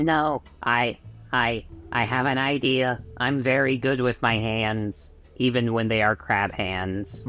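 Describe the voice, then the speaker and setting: A man uses a put-on character voice at a medium pitch and fairly slow pace. His loudness stays very even, with music in the background. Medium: actual play. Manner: earnest, formal, eager.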